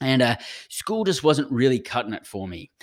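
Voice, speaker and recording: A man speaks with an Australian accent and very wide pitch swings. The recording is very clean, with a silent background. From Brisbane, Australia. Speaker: podcast host, entrepreneur. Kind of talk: solo podcast monologue, personal story. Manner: conversational, upbeat.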